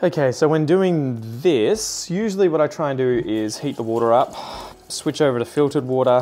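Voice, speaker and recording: A man talks at a fairly quick pace with a fairly high pitch. His tone is dark and mellow, and his intonation lively. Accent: Australian. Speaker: plant content creator. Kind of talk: casual vlog chat while doing chores.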